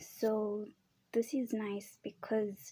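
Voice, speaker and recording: A soft-spoken woman with a calm tone, a medium pitch, a dark, mellow quality and fairly even intonation. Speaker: video creator. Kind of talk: casual show-and-tell.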